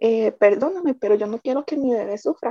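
A high-pitched woman speaks at a moderate pace with lively intonation. Her tone is dark and mellow, and the sound is dry and close with no echo. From Costa Rica, San José. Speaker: bereaved mother. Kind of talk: testimony.

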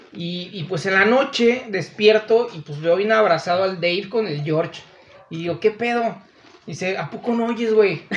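Noticeable background noise runs beneath a man's high-pitched voice. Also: ordinary pitch variation, moderate pace. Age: 30s. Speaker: podcast guest. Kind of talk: casual chat.

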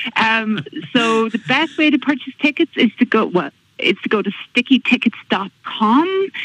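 A woman with an Irish accent speaks in a fairly high voice with very wide pitch swings. The sound is dry and close, with no echo. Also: moderate pace. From Ireland, County Monaghan. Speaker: school fundraiser organiser. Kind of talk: radio interview.

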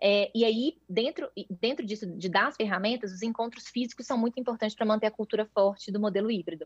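A woman speaks at a very fast pace. The sound is dry and close with no echo. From Brazil, Minas Gerais. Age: 30s. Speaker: startup founder and CEO. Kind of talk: interview.

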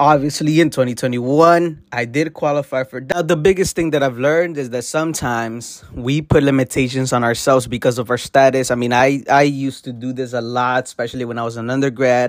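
With an American accent and a plain, everyday voice, a man speaks at a medium pitch with fairly even intonation and hardly any pauses. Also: fairly quick pace. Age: 20s. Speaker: entrepreneur podcast host. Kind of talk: solo podcast monologue.

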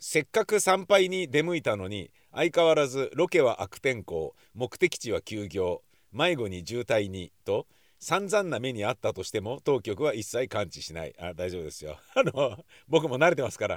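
Very wide pitch swings and big swings in loudness from a man at medium pitch, with vocal fry, on a very clean recording with a silent background. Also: moderate pace, dry, close sound with no echo. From Tokyo, Nakano. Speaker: podcaster. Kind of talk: casual monologue.

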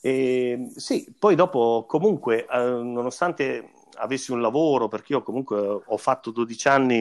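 Here a man speaks with ordinary pitch variation. The background is quiet. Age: 40s. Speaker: musician, singer and double bassist. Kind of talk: interview. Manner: halting, repeats words.

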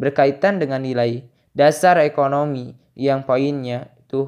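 A man with a plain, everyday voice, medium pitch, fairly even intonation, and a moderate pace. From Indonesia, Garut (West Java). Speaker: university student. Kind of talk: reading homework answers aloud.

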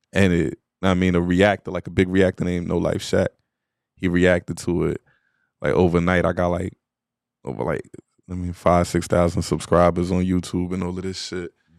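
Spoken in a New York accent at a moderate pace, the voice keeps a monotone, flat intonation with long, frequent pauses in a dry, close sound with no echo. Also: man, very deep, low pitch for a man. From Queens, New York. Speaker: rapper. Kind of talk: casual interview.

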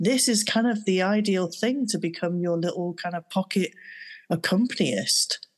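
A woman with a plain, everyday voice speaks at a medium pitch and moderate pace, with ordinary pitch variation. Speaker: podcast co-host. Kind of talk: casual interview chat.

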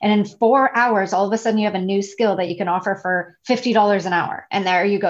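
A woman with a Canadian accent speaks fairly quickly at a medium pitch. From Canada, Toronto. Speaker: digital nomad and virtual assistant. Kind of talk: podcast interview. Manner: animated.

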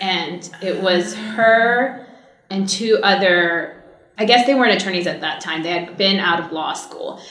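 In an American accent, a woman speaks at a medium pitch with fairly even intonation. Noticeable background noise and audible room echo are present. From US West Coast, Orange County, California. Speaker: entertainment attorney. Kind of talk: interview.

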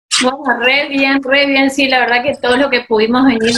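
A woman speaks fairly quickly at a high pitch in a monotone, flat intonation. Background noise is noticeable. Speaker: interviewer host. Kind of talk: casual interview. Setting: video call.

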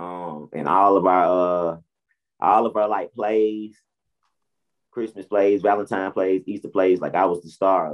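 An American accent marks this man's speech, delivered at a moderate pace. His pitch is very deep and low. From US South, Atlanta, Georgia (College Park). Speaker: rapper and music video director. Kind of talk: casual interview.

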